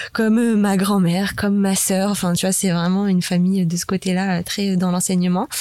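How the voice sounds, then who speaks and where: A woman at a fairly slow pace, medium in pitch, with a dark, mellow tone. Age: 20s. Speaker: app manager, entrepreneur. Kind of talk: casual interview. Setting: studio.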